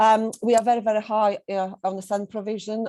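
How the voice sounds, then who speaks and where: With a Polish accent, a woman speaks at a moderate pace in a dark, mellow tone. The background is quiet. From Poland. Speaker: head teacher. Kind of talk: presentation. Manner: hesitant, with fillers.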